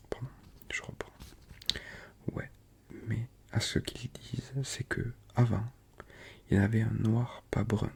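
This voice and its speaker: Soft-spoken and relaxed in tone, the voice carries a southern French accent. It moves at a very slow pace with long, frequent pauses. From Toulouse, France. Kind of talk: audiobook-style reading of a novella. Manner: soft-spoken, relaxed.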